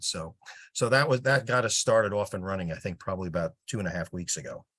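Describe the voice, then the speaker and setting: A man talks at a very fast pace with lively intonation and a New Jersey accent. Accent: New Jersey (US Northeast). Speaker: project volunteer with sales background. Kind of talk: casual meeting update.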